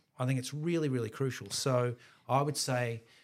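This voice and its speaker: Speaking at a fairly quick pace, a man with an Australian accent is heard on a very clean recording with a silent background. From Melbourne, Australia. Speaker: musician and creative director. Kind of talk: interview. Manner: laid back.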